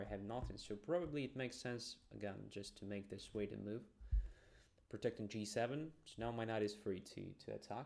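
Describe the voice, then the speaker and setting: Medium-pitched male speech with vocal fry, at a fairly quick pace, with ordinary pitch variation. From Ukraine. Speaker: chess master streamer. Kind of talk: live chess commentary. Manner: thinking aloud, casual.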